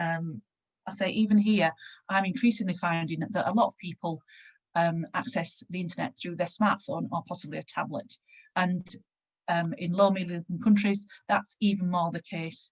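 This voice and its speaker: The voice is somewhat breathy with ordinary pitch variation, recorded dry and close with no echo. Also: woman, fairly low pitch for a woman. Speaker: panel speaker on patient involvement in research. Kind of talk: conference presentation. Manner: fast.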